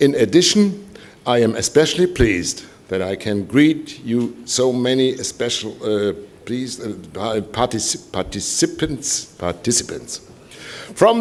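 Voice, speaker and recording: Speaking fairly slowly in a German accent, the man has a medium pitch that moves in very wide swings. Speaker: composer and organization president. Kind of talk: welcome speech. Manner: halting.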